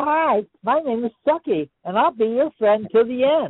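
A female-sounding, put-on character voice is pitched high. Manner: cheery.

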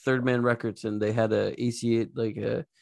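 A moderate pace, monotone and flat intonation, and a very clean recording over a silent background. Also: man. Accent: American. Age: 40s. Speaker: podcast host and musician. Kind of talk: casual chat.

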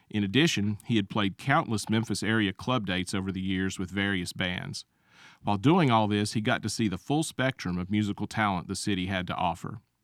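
Recorded very cleanly against a silent background, with a dry, close sound and no echo, a normal speaking voice carries ordinary pitch variation. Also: man, fairly low pitch for a man. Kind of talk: scripted radio history segment, narrated like a short documentary. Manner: measured, informative, steady, formal.

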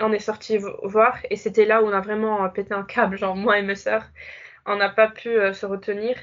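The delivery comes at a moderate pace. The intonation stays flat and monotone. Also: woman, fairly high pitch for a woman. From Morocco. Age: 20s. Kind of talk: testimony. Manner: hesitant.

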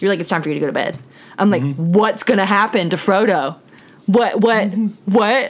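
A woman with an ordinary speaking voice, lively intonation and a fairly quick pace. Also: medium pitch for a woman. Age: 20s. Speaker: podcast co-host, daughter. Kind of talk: casual chat.

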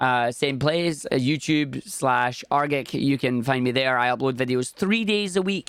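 A man with a Scottish accent talks at a fairly slow pace, with hardly any pauses. His pitch is medium, with ordinary variation, and his loudness stays very even. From Scotland. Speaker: video game speedrunner and streamer. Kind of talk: casual interview chat.

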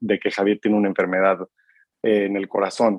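A man's fairly low-pitched voice, monotone and flat, at a fairly quick pace. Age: 30s. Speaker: marketer sharing mental health reflections. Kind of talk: casual interview about personal mental health journey.

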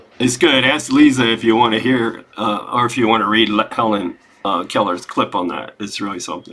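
A man speaks fairly quickly at a medium pitch, with ordinary pitch variation. He has a plain, everyday voice. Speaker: study group participant. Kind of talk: group discussion comment.

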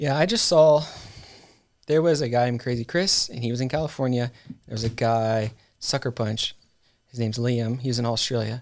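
On a very clean recording with a silent background, a man with an American accent speaks at medium pitch and a fairly quick pace, with ordinary pitch variation and long, frequent pauses. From US South, Georgia (McDonough). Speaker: RC racing team leader, former tour crew. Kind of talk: casual chat. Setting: studio.

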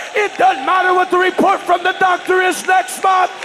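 A man speaks at a moderate pace in a raised, projected voice with an animated tone. Crowd noise fills the background. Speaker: preacher. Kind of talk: Pentecostal midweek sermon, call-and-response, urging the congregation to shout back. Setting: church with congregation. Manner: animated, loud, rhythmic, exhorting with repeated 'huh?' and shouted refrains.

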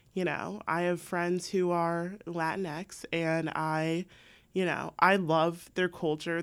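Using a monotone, flat intonation, a woman with an American accent speaks at a fairly low pitch. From San Diego, US West Coast suburbs. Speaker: accountant. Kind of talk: casual chat.

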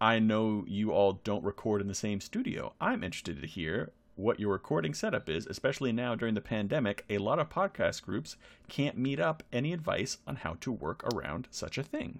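A man's fairly low voice in a playful tone, with very wide pitch swings over a quiet background. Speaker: podcast co-host and player. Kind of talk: casual chat. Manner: joking, playful.

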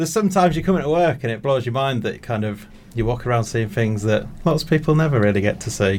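Very fast male speech at medium pitch with lively intonation and a North Yorkshire accent. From North Yorkshire, England. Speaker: zoo worker. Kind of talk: casual radio interview.

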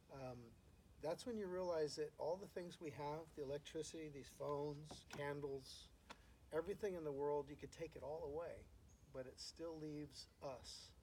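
A man speaks with fairly high pitch and fairly even intonation. His tone is dark and mellow, and somewhat breathy. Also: moderate pace. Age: 50s. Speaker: musician and real estate agent. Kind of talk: casual chat. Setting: at home.

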